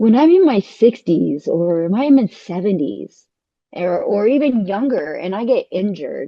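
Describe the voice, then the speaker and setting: Speaking with a Californian accent, a woman uses a fairly high pitch and very wide pitch swings at a moderate pace. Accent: Californian American. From California, US. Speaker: dancer and architect. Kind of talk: casual chat. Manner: animated.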